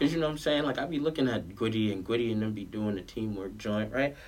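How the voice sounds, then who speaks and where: The speaker has a New York accent and ordinary pitch variation. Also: man. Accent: New York (Queens). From New York, Queens (Southside Jamaica). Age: 20s. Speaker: clothing brand founder and basketball coach. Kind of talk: casual chat.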